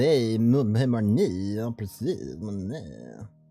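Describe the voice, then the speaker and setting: The speech unfolds very slowly while music plays behind it. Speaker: video game streamer. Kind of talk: casual chat.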